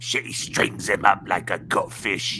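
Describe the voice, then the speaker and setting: A man does a put-on character voice in a strong Cockney accent. He goes at a fairly slow pace against clear background noise. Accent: thick Cockney. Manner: rough, gruff.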